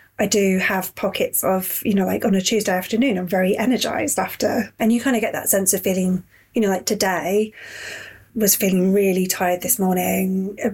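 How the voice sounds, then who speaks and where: A woman speaks at medium pitch with fairly even intonation and a somewhat breathy quality. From Yorkshire. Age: 30s. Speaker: fitness client. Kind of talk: casual interview chat.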